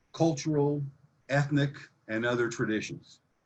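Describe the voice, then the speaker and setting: Speech moves at a moderate pace with ordinary pitch variation. The voice is somewhat breathy. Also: man. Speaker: expert witness on real estate economics. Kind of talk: expert testimony at public hearing. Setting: video conference. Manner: enthusiastic.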